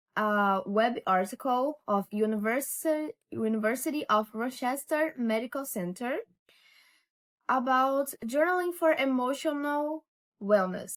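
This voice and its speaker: On a very clean recording with a silent background, a woman talks at a fairly slow pace in a high pitch with lively intonation. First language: not English. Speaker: lifestyle vlogger. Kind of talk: casual vlog talk to camera. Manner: halting, with repetitions.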